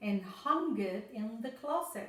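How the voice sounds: Reading in a natural voice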